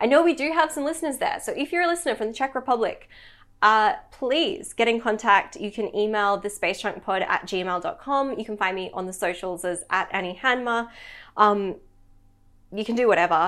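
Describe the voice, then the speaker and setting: At a fairly quick pace and with very wide pitch swings, a woman speaks in an Australian accent on a very clean recording with a silent background. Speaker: podcast host. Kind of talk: interview.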